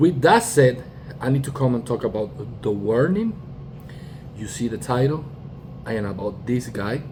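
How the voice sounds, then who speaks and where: A man's medium-pitched voice with ordinary pitch variation, moderate pace, long and frequent pauses, and noticeable background noise. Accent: Spanish. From Puerto Rico. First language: Spanish. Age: 40s. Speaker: YouTuber, music reactor and bassist. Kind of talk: casual commentary monologue. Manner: halting, with fillers and restarts.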